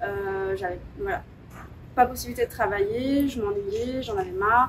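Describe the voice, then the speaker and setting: A woman's fairly high voice with very wide pitch swings, over noticeable background noise. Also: fairly slow pace. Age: 30s. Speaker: dance and yoga teacher. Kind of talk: interview. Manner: hesitant.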